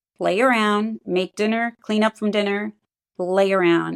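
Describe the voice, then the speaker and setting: This is a woman with a plain, everyday voice. She talks at a moderate pace with fairly even intonation. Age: 60s. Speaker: client giving a health testimonial. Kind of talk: testimony.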